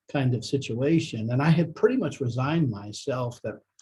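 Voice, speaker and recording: A somewhat breathy man's voice at medium pitch, dark and mellow in tone. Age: 60s. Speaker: business executive, dental patient. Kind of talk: testimonial. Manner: hesitant, many fillers.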